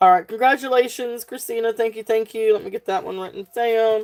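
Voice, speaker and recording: A woman with a Southern US accent speaks in a fairly high pitch. Her intonation is fairly even, and the recording is very clean with a silent background. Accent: Southern twang without the country twang. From South Central Virginia, near North Carolina. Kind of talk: live sale stream. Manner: casual, filler-heavy with many ums.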